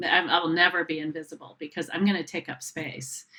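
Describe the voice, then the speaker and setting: Her tone is bright and sharp, her pitch fairly low with ordinary variation. The woman keeps a moderate pace. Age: 60s. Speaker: founder of a body image organization, guest speaker. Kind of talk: casual chat.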